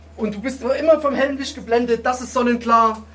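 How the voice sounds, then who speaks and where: Over noticeable background noise and audible room echo, a man talks at a fairly quick pace with an extremely high pitch and fairly even intonation. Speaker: battle rapper. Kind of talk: post-battle interview; a cappella battle rap. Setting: stage with audience.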